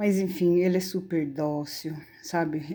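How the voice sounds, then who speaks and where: In a dark, mellow tone, the speaker delivers lines with monotone, flat intonation. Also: woman. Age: 60s. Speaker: animal rescuer and pet keeper. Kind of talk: casual talk to camera.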